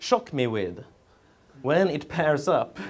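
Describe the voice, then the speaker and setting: A man with a Swedish accent at a very slow pace, his intonation lively. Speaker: memory champion and speaker. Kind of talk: conference talk. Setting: stage with audience.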